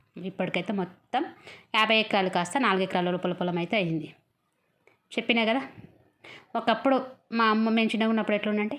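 A woman's fairly high voice shows ordinary pitch variation over a quiet background. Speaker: vlogger. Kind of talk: casual vlog narration. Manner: chatty, informal.

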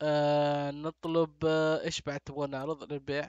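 A man's fairly high-pitched voice with monotone, flat intonation. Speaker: gaming youtuber. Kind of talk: let's play commentary. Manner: casual, thinking aloud.

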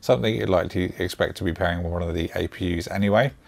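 A man speaks at a very fast pace with a British accent. His intonation is fairly even. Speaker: tech YouTuber. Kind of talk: product review.

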